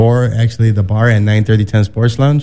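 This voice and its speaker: A man talks in a plain, everyday voice at a medium pitch and moderate pace, his intonation fairly even. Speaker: DJ. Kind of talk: casual DJ talk.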